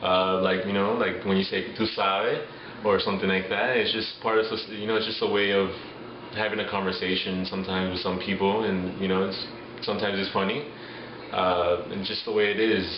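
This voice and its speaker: Over noticeable background noise and audible room echo, a man in a Miami accent talks fairly quickly in a monotone, flat delivery. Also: fairly low pitch for a man. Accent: Miami American English. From Miami, Florida. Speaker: interviewee. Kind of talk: street interview.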